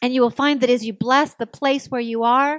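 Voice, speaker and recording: A woman talks at a moderate pace in a dry sound with no echo against a quiet background. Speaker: minister. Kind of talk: sermon. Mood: warm, calm, uplifting. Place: church. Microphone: podium.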